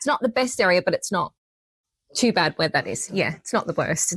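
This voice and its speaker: A woman speaks at a fairly quick pace with lively intonation. The recording is very clean and close, with a silent background and no echo. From Australia. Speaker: true crime podcaster. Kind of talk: live podcast conversation. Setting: stage with audience at a library.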